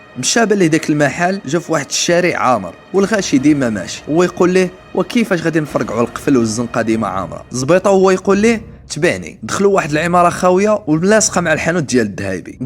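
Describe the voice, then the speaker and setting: Music plays behind a man with a high pitch and very wide pitch swings. He talks very fast with hardly any pauses. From Morocco. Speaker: storyteller. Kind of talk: true crime story narration.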